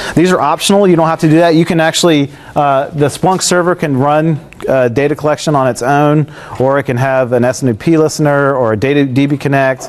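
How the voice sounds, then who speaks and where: A man speaks at a fairly quick pace and fairly high pitch, with very even loudness. There is noticeable background noise. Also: ordinary pitch variation. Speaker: tech presenter. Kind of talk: technical presentation with live demo. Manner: fast; casual with many fillers.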